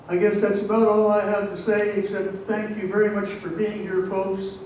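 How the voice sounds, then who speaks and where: Against noticeable background noise and audible room echo, a man speaks at a moderate pace. His pitch is high. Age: 80s+. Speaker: Wiccan priest, audience member. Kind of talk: public forum comment. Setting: stage with audience, microphone. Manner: halting.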